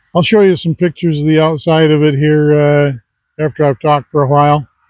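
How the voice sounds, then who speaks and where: In a Midwestern US accent, a man with a fairly high pitch talks at a fairly quick pace, with very even loudness and fairly even intonation. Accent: US Midwest. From Michigan. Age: 70s. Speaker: retired army veteran vlogger. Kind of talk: casual monologue. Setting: outdoors.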